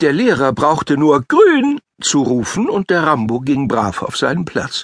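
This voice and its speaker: In a dry, close sound with no echo, a man speaks at a very slow pace with lively intonation. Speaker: audiobook narrator. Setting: studio.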